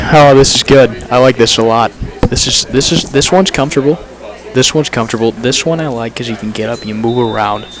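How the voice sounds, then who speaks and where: A man's very fast speech with ordinary pitch variation, over noticeable background noise. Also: medium pitch for a man. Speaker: student sports broadcaster. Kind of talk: casual mic check before broadcast. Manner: animated.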